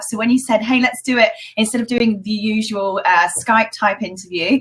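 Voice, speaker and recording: With a British accent, a woman speaks at a fairly high pitch. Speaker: education entrepreneur. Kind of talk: interview. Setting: live video stream.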